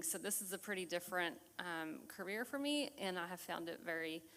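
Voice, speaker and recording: A soft-spoken woman talks with an American accent. Her pitch is fairly low. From Texas. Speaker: forensic accountant giving a talk. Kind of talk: community presentation.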